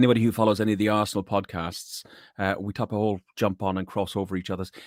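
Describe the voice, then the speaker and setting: Delivered at a very fast pace in a flat monotone, this voice has a dry, close sound with no echo on a very clean recording with a silent background. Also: man, fairly low pitch for a man. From Ireland, Athlone (midlands). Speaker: podcast host, sales worker. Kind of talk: casual chat.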